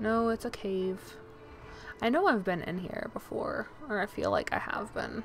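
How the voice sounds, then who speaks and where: A mumbling woman with a fairly high pitch at a fairly slow pace. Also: ordinary pitch variation. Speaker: video game streamer. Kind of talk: live gaming stream chat. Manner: mumbling to herself.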